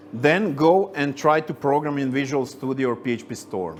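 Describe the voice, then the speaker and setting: A man with a Croatian accent, fairly high pitch, and a moderate pace. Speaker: senior software engineer, conference speaker. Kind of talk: tech meetup talk with Q&A.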